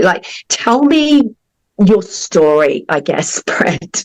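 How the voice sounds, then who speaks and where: In a dry, close sound with no echo, a woman with an Australian accent speaks at a very slow pace. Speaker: podcast host, counselor. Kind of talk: interview.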